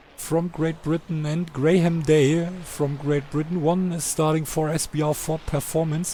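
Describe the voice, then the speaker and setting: A man with a German accent talks at a very slow pace, his pitch fairly high. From Germany. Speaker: sim racing commentator. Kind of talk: live commentary. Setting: live stream. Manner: halting.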